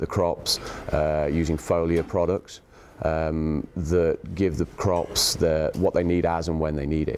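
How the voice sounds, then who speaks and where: Very deep and low, a man's voice with an English accent moves at a very slow pace in a monotone, flat intonation. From England. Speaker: agronomist. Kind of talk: interview answer.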